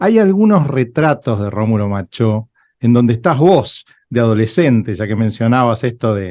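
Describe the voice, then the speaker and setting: In an Argentine accent, a man with a dark, mellow tone speaks at a fairly slow pace with lively intonation over a quiet background. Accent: Argentine Rioplatense. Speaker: radio host. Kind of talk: interview.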